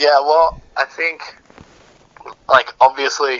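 The pace here is moderate. It is a man with an Australian accent. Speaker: band musician. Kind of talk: casual interview.

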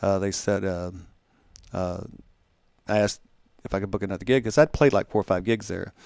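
Speaking at a fairly quick pace yet with long, frequent pauses, a man uses a fairly low voice with ordinary pitch variation, recorded dry and close with no echo. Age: 60s. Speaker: singer-songwriter. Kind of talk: casual chat. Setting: studio.

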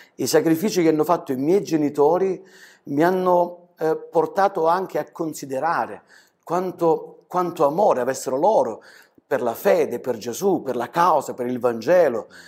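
A man with an ordinary speaking voice talks at a fairly high pitch and moderate pace. His pitch variation is ordinary, on a very clean recording with a silent background. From southern Italy, Calabria (Crotone); later Germany. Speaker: pastor. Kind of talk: interview testimony. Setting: studio.

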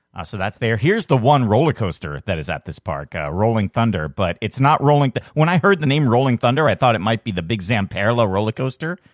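His pitch swings very widely, with vocal fry, at a fairly quick pace. The man's recording is dry and close, with no echo. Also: very clean recording, silent background. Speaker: podcast host. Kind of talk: casual chat.

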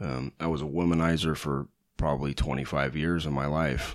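A man's very deep, low pitch with vocal fry, monotone, flat intonation and a moderate pace. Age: 40s. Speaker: guest. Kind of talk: testimony.

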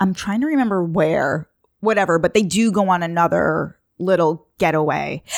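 With an American accent, a woman speaks at a moderate pace in a fairly low pitch, with ordinary pitch variation and very even loudness, on a very clean recording with a silent background. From Long Island, New York. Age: 30s. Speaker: podcast host guest. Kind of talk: casual chat.

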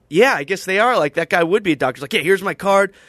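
A man's lively intonation in a dry, close sound with no echo. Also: quiet background. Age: 20s. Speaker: podcast host. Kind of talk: casual chat.

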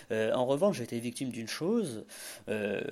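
The speaker is a man. He talks at a moderate pace. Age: 20s. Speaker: startup founder and self-taught developer. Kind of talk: interview. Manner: halting, frequent repetitions and hesitations.

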